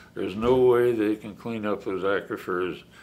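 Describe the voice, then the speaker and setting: A man with an American accent talks at a moderate pace with fairly even intonation and audible room echo. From US West, Oregon. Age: 80s+. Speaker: wild horse sanctuary founder. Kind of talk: interview. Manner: halting, many restarts.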